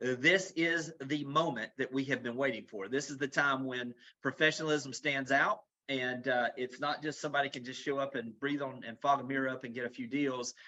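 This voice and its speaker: A man's medium-pitched voice with a Southern US accent at a fairly quick pace. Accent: Southern US accent, noticeable. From US South, Florida Panhandle / south Alabama. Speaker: real estate executive. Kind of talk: webinar presentation. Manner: fast; animated.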